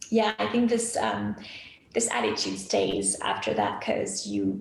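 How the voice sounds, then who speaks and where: A woman speaks with a French accent at very even loudness. Audible room echo surrounds her voice. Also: fairly slow pace. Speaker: graphic designer. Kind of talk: interview.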